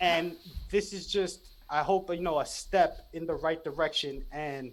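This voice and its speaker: Someone with a New York accent talks at a moderate pace with ordinary pitch variation. The recording is very clean, with a silent background. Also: man. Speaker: podcast guest, spiritual content creator. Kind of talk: casual interview chat. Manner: loud and excited; animated, halting with restarts.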